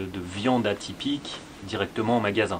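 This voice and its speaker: A man talks with fairly even intonation while noticeable noise fills the background. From France, Lyon. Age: 30s. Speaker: business consultant, co-host. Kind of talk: casual Q&A chat. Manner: measured, explanatory.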